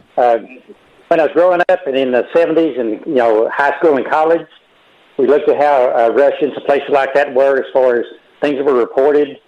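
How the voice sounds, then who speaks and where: Amid noticeable background noise, a man talks at a fairly quick pace with a fairly high pitch and fairly even intonation. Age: 60s. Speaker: caller. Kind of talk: call-in conversation. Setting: phone call.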